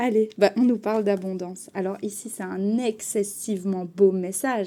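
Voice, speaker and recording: A woman with a dark, mellow tone and medium pitch speaks at a fairly slow pace with fairly even intonation. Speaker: tarot card reader. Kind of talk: tarot reading.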